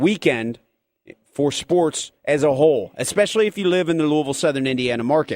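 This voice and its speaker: In an ordinary speaking voice, a man talks at a fairly quick pace and fairly high pitch, recorded with a dry, close sound with no echo. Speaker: sports radio host. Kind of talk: sports radio talk show.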